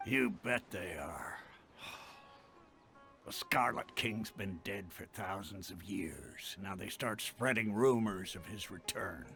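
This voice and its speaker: A man puts on a raspy character voice at a fairly low pitch, talking at a fairly slow pace with ordinary pitch variation while music plays in the background. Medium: video game. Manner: measured, matter-of-fact.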